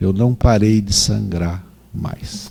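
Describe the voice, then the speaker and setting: A man's dark, mellow voice, fairly low in pitch, with ordinary pitch variation and a very slow pace. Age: 60s. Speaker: doctor, gynecologist. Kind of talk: lecture.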